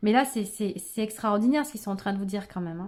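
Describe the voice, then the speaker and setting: A woman speaks at a fairly high pitch with fairly even intonation and a dark, mellow tone. The recording is very clean, with a silent background. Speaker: tarot card reader. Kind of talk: tarot reading video. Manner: fast; halting.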